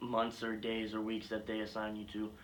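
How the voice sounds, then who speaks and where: A man with a fairly low pitch speaks amid audible room echo. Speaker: YouTuber telling personal story. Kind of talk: casual story time. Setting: garage. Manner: stuttering, halting. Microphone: poor camera quality.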